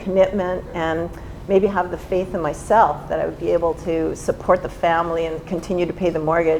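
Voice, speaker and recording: Noticeable background noise behind a woman's medium-pitched voice at a moderate pace. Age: 60s. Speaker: real estate agent. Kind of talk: panel discussion.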